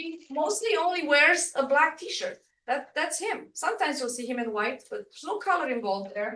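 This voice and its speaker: A woman with a non-native accent speaks in a raised, projected voice, her high pitch making very wide swings and her loudness rising and falling sharply, all in a bright, sharp tone. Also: moderate pace. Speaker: workshop presenter. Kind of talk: workshop presentation. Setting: room with live and online audience.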